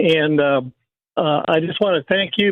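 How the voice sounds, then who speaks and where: The man's intonation is fairly even. He moves along at a fairly quick pace. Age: 70s. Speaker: caller. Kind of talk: phone-in call. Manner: halting.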